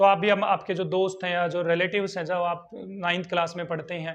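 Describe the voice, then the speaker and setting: At a moderate pace, a high-pitched man speaks in a monotone, flat intonation. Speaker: school science teacher. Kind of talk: lecture. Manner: repetitive teacher questioning style.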